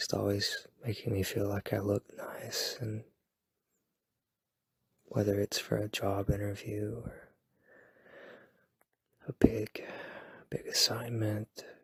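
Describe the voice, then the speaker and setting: Soft-spoken and very slow, a man speaks with long, frequent pauses in a dry, close sound with no echo. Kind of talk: ASMR boyfriend roleplay. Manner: soft-spoken, rambling.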